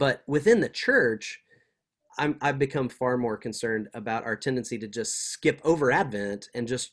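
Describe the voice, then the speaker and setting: With a normal speaking voice and an American accent, a man talks with ordinary pitch variation in a very clean recording with a silent background. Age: 40s. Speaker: seminary professor. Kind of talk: interview.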